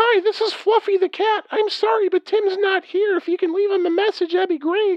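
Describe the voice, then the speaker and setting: Someone puts on a squeaky character voice at an extremely high pitch, keeping a moderate pace with hardly any pauses. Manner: polite, friendly.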